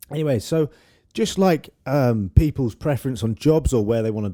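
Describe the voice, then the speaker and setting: In a British accent, a man with a dark, mellow tone speaks at a moderate pace with ordinary pitch variation on a very clean recording with a silent background. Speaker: YouTuber. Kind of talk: casual Q&A monologue. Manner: casual, hesitant with fillers.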